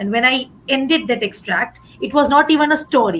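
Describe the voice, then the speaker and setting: In a Gujarati accent, a woman speaks with a high pitch. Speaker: English teacher. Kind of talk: panel discussion.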